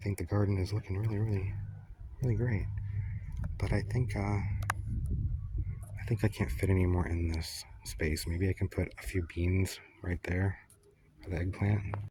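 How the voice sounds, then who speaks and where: A soft-spoken man's very deep, low voice with a dark, mellow tone, vocal fry, fairly even intonation, a moderate pace, and long, frequent pauses. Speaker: home gardener. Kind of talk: casual gardening talk to camera. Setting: outdoors.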